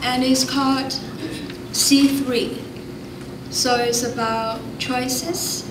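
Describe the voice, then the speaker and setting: Amid noticeable background noise, a woman speaks at a very slow pace. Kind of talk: self-introduction at press conference. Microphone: podium.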